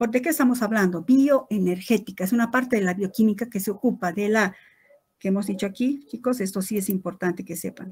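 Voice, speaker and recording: A woman speaks at medium pitch and a fairly quick pace, somewhat breathy, with ordinary pitch variation. The recording is very clean, with a silent background. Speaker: biochemistry lecturer. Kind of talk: lecture.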